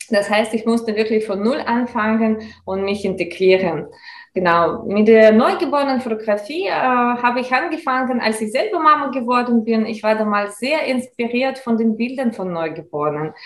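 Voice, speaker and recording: Speaking at a moderate pace with a Russian accent, the voice carries lively intonation. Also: woman, fairly high pitch for a woman. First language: Russian (speaking German). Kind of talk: interview. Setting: video call.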